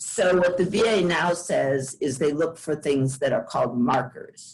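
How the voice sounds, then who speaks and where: A woman with an unremarkable speaking voice talks at a fairly slow pace, her pitch fairly low with ordinary variation. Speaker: law clinic attorney. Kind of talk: panel presentation. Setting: video call webinar.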